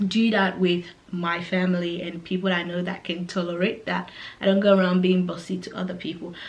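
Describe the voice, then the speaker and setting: The voice carries an African accent. Its intonation is fairly even. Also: woman. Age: 20s. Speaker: YouTuber. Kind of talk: casual vlog talk. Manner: hesitant, many fillers.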